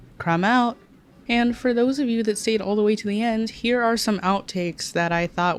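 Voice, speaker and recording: Her pitch varies in an ordinary way as this woman keeps a moderate tempo. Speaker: anime YouTuber. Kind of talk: video essay commentary. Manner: casual, profane outtakes.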